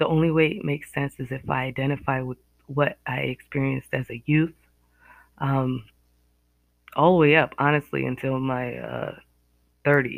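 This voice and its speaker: Long, frequent pauses break up speech at a moderate pace delivered with an American accent. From US Northeast. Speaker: podcaster. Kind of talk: solo monologue, reflective podcast talk. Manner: reflective, hesitant with fillers.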